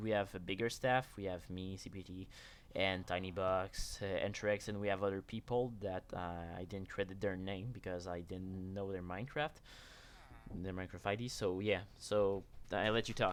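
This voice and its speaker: Talking at a moderate pace, a man with a French Canadian accent keeps a fairly low pitch and fairly even intonation. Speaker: game server builder. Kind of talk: live stream chat.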